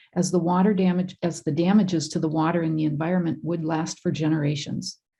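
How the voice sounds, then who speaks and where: Talking at a very fast pace with a somewhat breathy sound, this woman has a very deep, low pitch and an Upper Midwest accent. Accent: Upper Midwest (Minnesota). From northern Minnesota (Sandstone). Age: 60s. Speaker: member of the public giving comment. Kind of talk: public comment. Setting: online video meeting.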